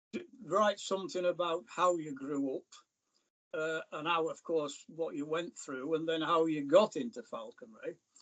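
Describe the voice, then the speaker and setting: At a fairly slow pace, a man with a Lancashire accent speaks in a high pitch with ordinary pitch variation. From northern England, North East Lancashire mill town. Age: 80s+. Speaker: falconer and author. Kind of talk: interview.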